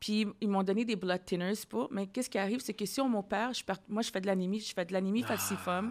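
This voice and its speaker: Words come at a very fast pace with fairly even intonation. The recording is very clean, with a silent background. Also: woman, medium pitch for a woman. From Ontario, Ottawa. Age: 40s. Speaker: podcast host. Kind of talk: casual interview.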